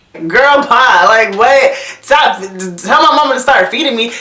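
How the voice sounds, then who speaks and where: Against noticeable background noise, a woman with a high pitch uses a raised, projected voice with very wide pitch swings. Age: young. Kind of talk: casual storytime talk to camera.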